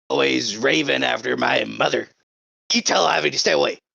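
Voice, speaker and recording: In a put-on character voice, someone shouts raspily at a fairly quick pace, with lively intonation and very even loudness. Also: man, very deep, low pitch for a man. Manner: yelling.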